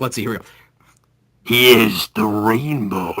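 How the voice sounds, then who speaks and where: A raspy, dramatic, put-on character voice from a man at medium pitch. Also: moderate pace. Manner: dramatic, cinematic.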